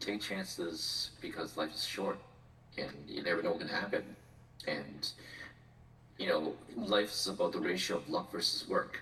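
Noticeable background noise sits behind a man talking at a moderate pace. He leaves long, frequent pauses. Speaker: podcast co-host and speech therapist. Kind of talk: casual chat.

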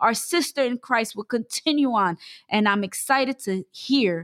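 In a normal speaking voice, a woman talks at a moderate pace with lively intonation, the sound dry and close with no echo. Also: very clean recording, silent background. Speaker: church member sharing testimony. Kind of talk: testimony.

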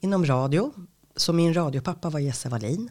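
In a very clean recording with a silent background, a woman speaks at a moderate pace with lively intonation and a somewhat breathy voice. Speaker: radio host and voice-over artist. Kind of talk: interview.

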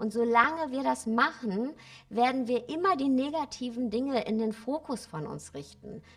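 Her loudness swings widely as a woman speaks at a moderate pace in a high voice with lively intonation. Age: 40s. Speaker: spiritual coach and author. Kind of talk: interview.

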